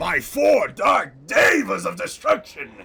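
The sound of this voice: A man shouts. He uses a put-on character voice. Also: fairly slow pace.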